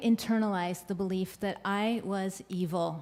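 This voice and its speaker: A woman with a normal speaking voice talks at a fairly slow pace with a medium pitch and ordinary pitch variation. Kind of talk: live storytelling performance. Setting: live stage with audience.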